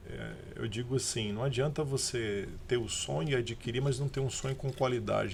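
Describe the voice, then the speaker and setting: Speaking with a São Paulo accent, a man uses a medium pitch and vocal fry at a moderate pace. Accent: paulista. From Brazil, São Paulo. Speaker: business owner. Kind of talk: podcast interview.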